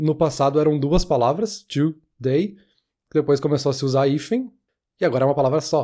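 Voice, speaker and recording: A man talks at a fairly quick pace with a fairly high pitch and ordinary pitch variation. His tone is dark and mellow, in a very clean recording with a silent background. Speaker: podcast co-host. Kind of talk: casual chat.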